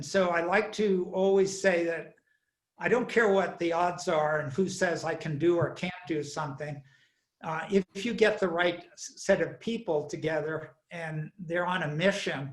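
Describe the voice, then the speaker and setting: Pitched high, a man speaks at a fairly slow pace with fairly even intonation. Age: 70s. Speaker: entrepreneur. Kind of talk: interview.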